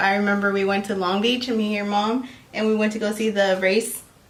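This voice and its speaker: Fairly high-pitched speech from a woman at a moderate pace, with audible room echo and noticeable background noise. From Mexico. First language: Spanish. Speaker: vlogger. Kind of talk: casual chat.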